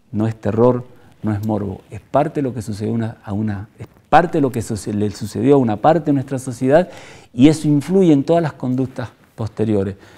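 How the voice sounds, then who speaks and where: At a moderate pace, the voice has a dark, mellow tone and ordinary pitch variation. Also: man. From Argentina, Mendoza; Argentina. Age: 60s. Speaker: former political prisoner and human rights activist. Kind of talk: testimony. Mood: grave, reflective.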